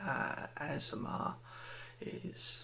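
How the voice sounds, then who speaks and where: A soft-spoken man talks in a calm tone. There is noticeable background noise. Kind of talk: ASMR ramble to camera. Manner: soft-spoken, calm.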